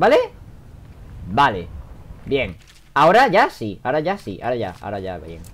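The speaker talks at a moderate pace with a Spanish accent. Long pauses come often. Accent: Peninsular Spanish. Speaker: gaming video creator. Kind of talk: let's play commentary. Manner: animated.

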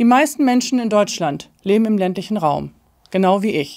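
Ordinary pitch variation from a woman at a moderate pace, the background quiet. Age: 50s. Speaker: political candidate; candidate. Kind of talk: campaign speech. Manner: formal. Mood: earnest, committed. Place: studio.

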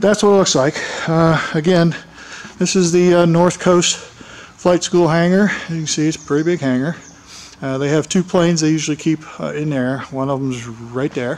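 A man's speech moves at a moderate pace, its pitch varying ordinarily. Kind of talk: casual vlog chat. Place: hall. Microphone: phone near.

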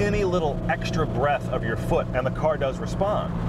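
A man talks at a moderate pace against loud background noise. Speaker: car reviewer driving. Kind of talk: commentary. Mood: enthusiastic, thoughtful. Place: car.

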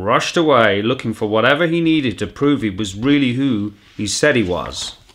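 The voice sounds natural. It is reading aloud.

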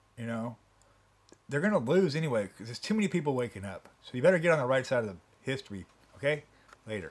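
Talking at a very fast pace, a man makes very wide pitch swings and big jumps in loudness, broken by long, frequent pauses. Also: medium pitch for a man. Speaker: home video uploader. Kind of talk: angry rant at the camera about site changes. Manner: irate, sarcastic, exasperated, repeating points and jabbing with rhetorical questions; fast, emphatic, rambling and self-interrupting. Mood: annoyed, ranting. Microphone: phone near.

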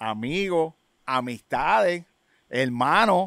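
A man with a Puerto Rican accent at a very slow pace, fairly high in pitch with lively intonation, dry with no echo against a quiet background. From Puerto Rico, public housing projects. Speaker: rapper and DJ, genre pioneer; DJ. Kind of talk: casual interview. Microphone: studio mic.

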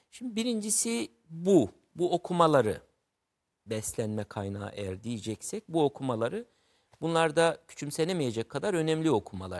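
This man's voice swings very widely in pitch over a quiet background. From Turkey, Mardin; Turkey. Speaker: writer; guest. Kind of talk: interview about literature. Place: studio. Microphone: lapel.

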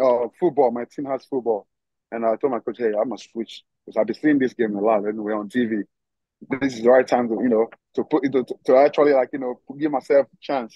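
Speaking with a Nigerian accent at a fairly quick pace, a man keeps his intonation fairly even, the sound dry with no echo and the background quiet. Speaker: professional football player. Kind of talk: casual interview. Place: garden. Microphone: video call.

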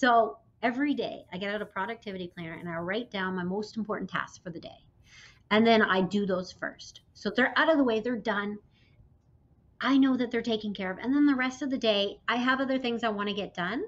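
A woman's fairly high voice at a fairly quick pace, with ordinary pitch variation and big swings in loudness. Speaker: entrepreneur; interview guest. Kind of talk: interview. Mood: warm, upbeat. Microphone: video call.

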